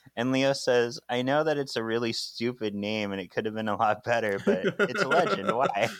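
Over noticeable background noise, a man with a medium pitch speaks at a moderate pace with lively intonation and hardly any pauses. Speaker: podcast co-host. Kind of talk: casual chat.

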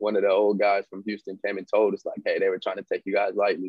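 With an American accent, a man speaks at a fairly low pitch in a monotone, flat intonation. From Fresno, California. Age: 20s. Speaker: professional baseball player. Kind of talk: casual interview chat.

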